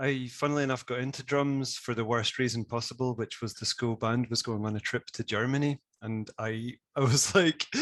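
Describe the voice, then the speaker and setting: In a west of Scotland accent, a man speaks at a fairly quick pace and medium pitch with ordinary pitch variation, the sound dry and close with no echo. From Scotland, west coast (Isle of Bute). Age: 30s. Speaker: conversation designer and audio specialist. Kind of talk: interview.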